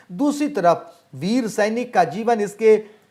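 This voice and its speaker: Ordinary pitch variation from a male speaker. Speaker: Hindi teacher. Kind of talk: lecture. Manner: formal.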